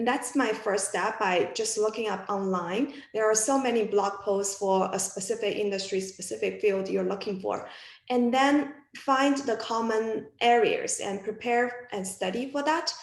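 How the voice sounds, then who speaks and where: There is audible room echo as a woman with a non-native accent speaks fairly slowly, fairly high in pitch, with ordinary pitch variation. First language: not English. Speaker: physics alumna working in data science. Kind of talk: panel discussion. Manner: halting.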